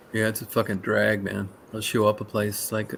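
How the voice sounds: Speaking at a moderate pace, a man uses a fairly low, monotone voice with flat intonation and vocal fry.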